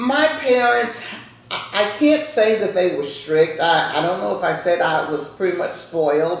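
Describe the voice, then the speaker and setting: A woman with a Louisiana accent speaks at a moderate pace in a fairly low pitch, her voice swinging very widely in pitch. Audible room echo and noticeable background noise fill the recording. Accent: Southern US (Louisiana). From US South. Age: 70s. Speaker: grandmother telling family history. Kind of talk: casual interview with grandchildren. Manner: conversational, warm storytelling.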